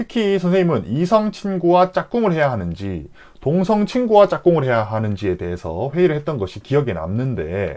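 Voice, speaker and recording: Over a quiet background, a man speaks with hardly any pauses in a fairly high pitch. His tone is dark and mellow, and his pitch swings very widely. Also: moderate pace. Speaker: elementary school teacher. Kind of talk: lecture.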